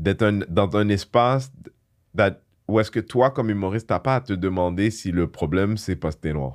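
A man talks in a normal speaking voice at a moderate pace. His pitch is fairly low, with ordinary pitch variation. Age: 40s. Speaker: comedian. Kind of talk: casual chat.

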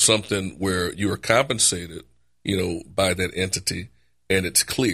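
In a very clean recording with a silent background, a man with a New Orleans accent speaks in a very deep, low pitch. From New Orleans, Louisiana. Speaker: personal injury lawyer. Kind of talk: casual chat.

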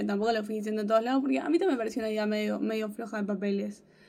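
There is audible room echo around this woman's fairly high-pitched voice. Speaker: podcast co-host. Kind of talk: casual chat.

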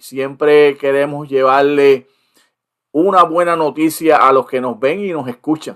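A plain, everyday voice moves at a fairly slow pace. Intonation is fairly even, while loudness swings widely. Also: man, fairly high pitch for a man. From Puerto Rico. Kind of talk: interview.

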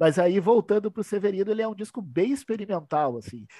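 A man with a dark, mellow tone speaks with lively intonation. The sound is dry and close with no echo, over a quiet background. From southern Brazil (Rio Grande do Sul). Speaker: sports and rock journalist. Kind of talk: casual chat. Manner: animated.

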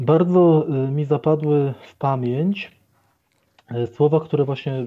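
This man talks very slowly. His intonation rises and falls in an ordinary way. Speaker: Capuchin friar and doctoral student. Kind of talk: radio interview. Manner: formal.

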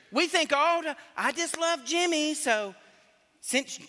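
A raised, projected voice speaks in a Southern US accent. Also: man. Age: 50s. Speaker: pastor. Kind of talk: sermon. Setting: church.

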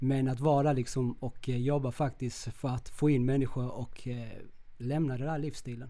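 In a dark, mellow tone, a man speaks at a moderate pace with a medium pitch and monotone, flat intonation. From Chile. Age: 40s. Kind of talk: casual interview, personal storytelling.

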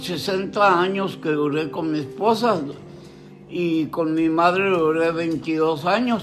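A man with a high voice speaks very slowly over noticeable background noise, with audible echo from the room. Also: ordinary pitch variation. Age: 80s+. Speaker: grandfather interviewed about his life. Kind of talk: family oral history interview.

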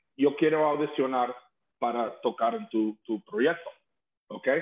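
A man talks at a fairly slow pace with a fairly high pitch. His speech has long, frequent pauses. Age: 50s. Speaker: rock singer. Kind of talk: casual chat. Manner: halting.

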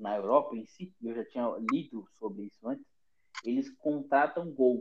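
A man's ordinary speaking voice at medium pitch, with fairly even intonation. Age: 20s. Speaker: football podcast host. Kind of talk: casual chat. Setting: remote call from home.

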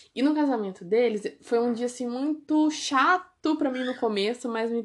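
A woman speaks in a high-pitched voice. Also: very clean recording, silent background. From Brazil, Ourinhos, São Paulo state. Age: 20s. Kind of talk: testimony. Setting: at home. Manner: casual, conversational.

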